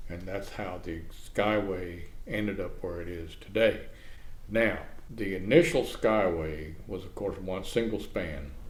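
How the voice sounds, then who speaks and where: A man's very deep, low voice with an American accent, ordinary pitch variation, big swings in loudness, a fairly slow pace, audible room echo and a somewhat breathy quality. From Florida, Manatee County. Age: 70s. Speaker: oral history interviewee, retired journalist. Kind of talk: oral history interview.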